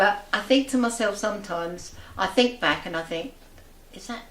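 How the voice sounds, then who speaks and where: Noticeable background noise and audible room echo are present. A woman talks through them. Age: 80s+. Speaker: local resident, amateur writer and poet. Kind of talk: interview.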